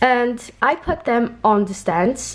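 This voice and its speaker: A woman speaks with a non-native accent. Her intonation is fairly even. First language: not English. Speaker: doll collector and reviewer. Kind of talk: casual unboxing review.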